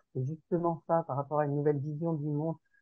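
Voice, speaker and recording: A woman is talking. Her speed is fairly quick. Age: 60s. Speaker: participant in a sharing group. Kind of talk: group sharing session. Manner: hesitant, many fillers.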